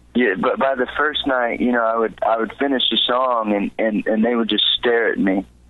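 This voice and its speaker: In a Texan accent, a man keeps a moderate pace with hardly any pauses and very even loudness. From Texas, San Antonio. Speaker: country singer-songwriter. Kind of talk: interview. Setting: studio. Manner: halting, many repeated words and fillers.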